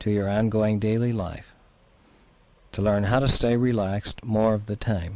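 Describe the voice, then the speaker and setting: A man's dark, mellow, calm voice at a fairly low pitch, with monotone, flat intonation and long, frequent pauses. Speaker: clinical psychologist. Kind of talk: guided relaxation. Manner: calm, slow.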